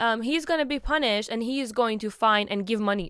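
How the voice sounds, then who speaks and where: A woman shouts loudly in an animated tone at a moderate pace, in a very clean recording with a silent background. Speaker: podcast host. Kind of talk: casual commentary monologue. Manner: loud, yelling.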